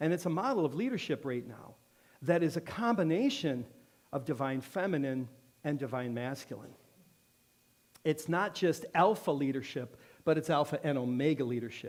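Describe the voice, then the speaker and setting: A man with a fairly high pitch, animated tone and lively intonation, at a moderate pace with long, frequent pauses. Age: 60s. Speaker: guest speaker at a church. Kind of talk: sermon. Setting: church with congregation.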